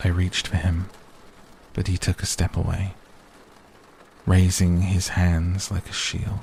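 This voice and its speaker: A soft-spoken man with a very deep, low voice, flat monotone delivery and a very slow pace, over noticeable background noise. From British. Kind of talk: sleep story. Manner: slow, relaxing.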